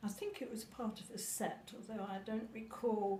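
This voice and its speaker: Audible room echo surrounds a woman's voice. She speaks at a medium pitch and a fairly slow pace. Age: 80s+. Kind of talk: casual chat. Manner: halting.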